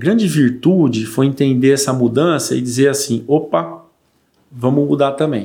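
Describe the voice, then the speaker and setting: A man's medium-pitched voice with a dark, mellow tone, ordinary pitch variation, moderate pace and very even loudness. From São Paulo state, Brazil (Mirandópolis). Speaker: agronomist and rural union director. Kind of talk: casual interview.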